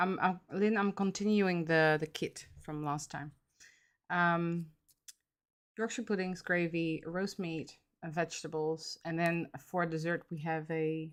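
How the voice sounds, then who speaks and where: A woman speaks at a fairly slow pace with a fairly low pitch and fairly even intonation, in a Dutch accent. The recording is very clean, with a silent background. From Netherlands. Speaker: miniature crafter streamer. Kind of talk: casual livestream chat. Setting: livestream at home. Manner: hesitant, many fillers.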